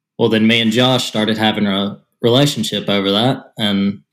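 Speaking with an East Tennessee accent, a man uses a fairly low pitch, ordinary pitch variation and a moderate pace. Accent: US Southern (East Tennessee). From Tennessee, near Chattanooga. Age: 20s. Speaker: podcast co-host. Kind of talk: casual chat.

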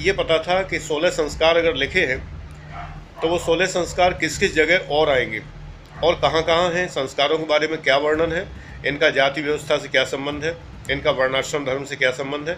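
A man speaks in a fairly high voice at a moderate pace. His intonation stays fairly even, and the room echo is audible. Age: 60s. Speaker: retired civil servant and exam coach. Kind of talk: monologue lecture to aspirants.

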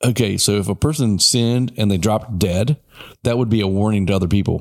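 On a very clean recording with a silent background, a man in a plain, everyday voice talks at a fairly quick pace, fairly low in pitch, with ordinary pitch variation. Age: 50s. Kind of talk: casual chat about Christianity.

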